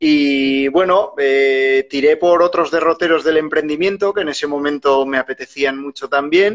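In a normal speaking voice, someone talks at a fairly slow pace with ordinary pitch variation. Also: man, fairly high pitch for a man. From Spain, Huesca (Aragon). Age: 40s. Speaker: media professional and rural entrepreneurship podcaster. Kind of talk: casual interview.

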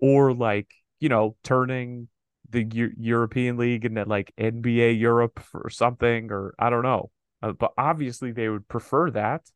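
A normal speaking voice from a man, fairly even intonation, moderate pace, dry, close sound with no echo. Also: medium pitch for a man. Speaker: podcast host. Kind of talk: casual banter about sports and culture. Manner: joking, playful.

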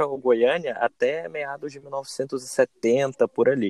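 A man's voice with ordinary pitch variation. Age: 20s. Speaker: fan page admin. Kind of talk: casual chat.

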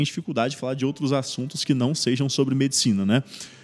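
A man talking at a very fast pace. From Brazil, Espírito Santo. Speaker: medical resident. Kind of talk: interview. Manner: hesitant, many fillers.

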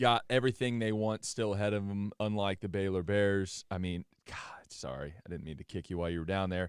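In a very clean recording with a silent background, a man uses a normal speaking voice. His pitch is fairly low with ordinary variation, and his pace is fairly quick. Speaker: college football podcast host. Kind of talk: casual sports podcast banter.

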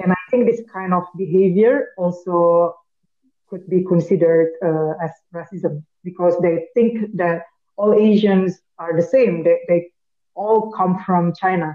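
Speaking with an Indonesian accent, a woman uses a medium pitch, fairly even intonation and a fairly slow pace. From Indonesia, Batak. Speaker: podcast co-host. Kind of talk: casual chat.

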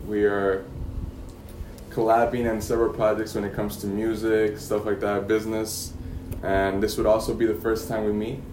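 Speaking at a moderate pace, a man uses a fairly low pitch and monotone, flat intonation. Audible room echo and noticeable background noise are present. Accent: American. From Yuma, Arizona. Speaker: podcast host. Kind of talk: casual interview.

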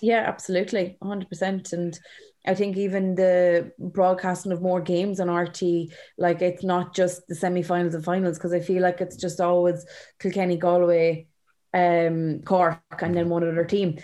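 A woman with an Irish accent speaks at a fairly low pitch in a monotone, flat intonation on a very clean recording with a silent background. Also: moderate pace. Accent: Irish, Carlow. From Ireland, County Carlow. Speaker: camogie player. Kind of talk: interview.

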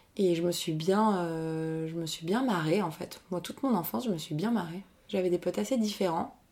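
A dark, mellow tone with ordinary pitch variation. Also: woman. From Paris region, France. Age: 30s. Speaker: business coach and improv actress. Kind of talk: casual interview chat.

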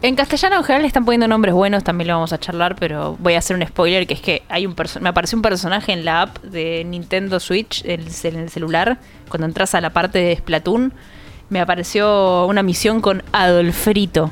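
Speaking at a fairly quick pace with a Rioplatense accent, a woman talks at a medium pitch with ordinary pitch variation. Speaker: video game podcast panelist. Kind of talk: casual chat.

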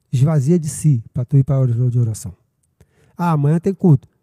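A fairly high-pitched man with a dark, mellow tone, somewhat breathy and at a fairly quick pace, with lively intonation and a dry, close sound with no echo. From Brazil, Niterói (Rio de Janeiro state). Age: 50s. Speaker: pastor. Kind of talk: casual chat.

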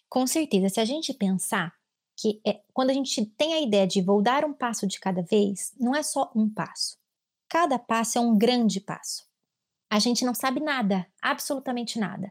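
A woman with a plain, everyday voice speaks at a moderate pace, her fairly high pitch carried by lively intonation on a very clean recording with a silent background. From Brazil, São Paulo state. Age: 30s. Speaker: clinical psychologist. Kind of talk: casual chat.

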